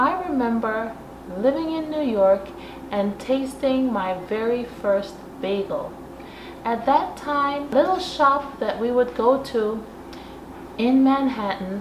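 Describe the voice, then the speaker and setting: A woman's high-pitched voice at a very slow pace, broken by long, frequent pauses, over noticeable background noise. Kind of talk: casual vlog chat. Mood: warm, nostalgic. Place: kitchen.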